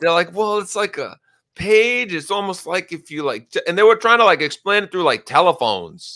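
In a very clean recording with a silent background, a man speaks in a raised, projected voice at a moderate pace. His voice is high, with a bright, sharp tone and ordinary pitch variation. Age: 40s. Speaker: podcast host interviewing a fantasy league member. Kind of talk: casual chat.

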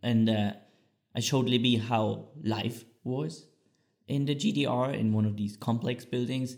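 A man's medium-pitched voice with a German accent, fairly slow, with ordinary pitch variation. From East Germany. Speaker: podcast co-host. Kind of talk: casual chat.

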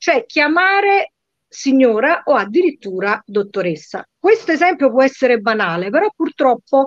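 A voice with very wide pitch swings moves at a moderate pace in a dry, close sound with no echo. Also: woman. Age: 50s. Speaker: lawyer. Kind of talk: interview.

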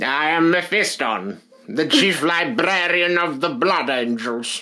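A man puts on a character voice, pitched high. He delivers it at a fairly slow pace. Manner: silly, exaggerated.

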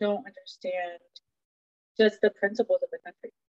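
A woman speaks with a Spanish accent. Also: dry, close sound with no echo. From Mexican heritage. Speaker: podcast guest. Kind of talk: political talk show.

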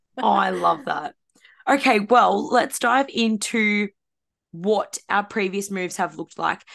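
With an Australian accent and vocal fry, a woman speaks at a fairly slow pace and medium pitch with ordinary pitch variation. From Australia, far from Gold Coast. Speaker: podcast co-host. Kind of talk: casual chat.

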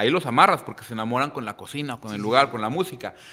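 Heard here is a man with a bright, sharp tone. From Manzanillo, Colima, Mexico. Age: 30s. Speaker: chef and restaurant owner. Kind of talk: casual interview.

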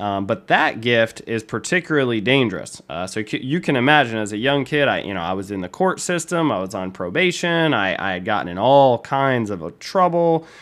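Medium in pitch, a man's voice makes very wide pitch swings. He keeps a moderate pace with hardly any pauses. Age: 20s. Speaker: online preacher. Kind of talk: personal testimony. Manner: calm; many fillers and repetitions.

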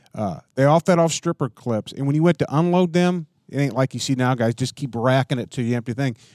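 A man with an American accent speaks in a normal speaking voice at medium pitch, fairly quickly and with hardly any pauses, with ordinary pitch variation, on a very clean recording with a silent background. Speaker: firearms collector. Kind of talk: casual chat. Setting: shooting range.

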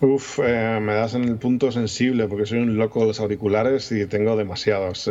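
With a Madrid accent, a man talks at a fairly quick pace in a fairly low voice with fairly even intonation, over noticeable background noise. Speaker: podcaster and YouTuber. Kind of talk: casual chat.

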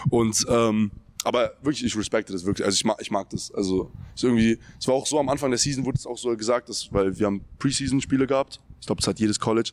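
A man talks very fast at a medium pitch with ordinary pitch variation, in a dry, close sound with no echo. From Germany, Frankfurt area (Hesse). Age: 20s. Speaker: college basketball player. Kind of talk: casual interview.

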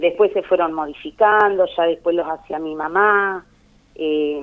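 In an Argentine accent, a woman speaks at a medium pitch and a fairly slow pace. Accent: Rioplatense Argentine Spanish. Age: 50s. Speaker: daughter of honoree. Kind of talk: interview.

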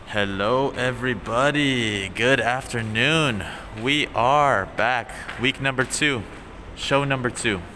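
A man's medium-pitched voice with ordinary pitch variation, at a very slow pace, over noticeable background noise. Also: very even loudness. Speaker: podcast co-host teaching English and Japanese. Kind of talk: casual chat.

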